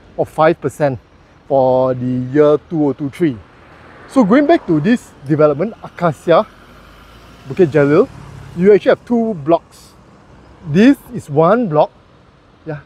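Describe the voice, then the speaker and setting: Long, frequent pauses break up the speech. The sound is dry with no echo. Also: man, moderate pace. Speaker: property reviewer. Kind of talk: casual vlog commentary. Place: street. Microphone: phone near.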